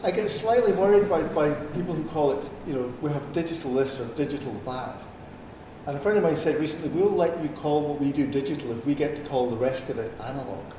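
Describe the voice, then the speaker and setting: A man with a Scottish accent, fairly high-pitched, talking very fast with ordinary pitch variation, plus audible room echo and noticeable background noise. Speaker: speaker on social media and business. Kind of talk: talk to a live audience. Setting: room with a live audience, no microphone. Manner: hesitant, many 'um' fillers. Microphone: speaking without a microphone.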